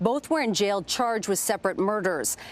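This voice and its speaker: A woman talks in an ordinary speaking voice at a medium pitch. Her pace is moderate, with ordinary pitch variation. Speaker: network news correspondent and anchor. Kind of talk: broadcast news reporting. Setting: news report on location and in interview.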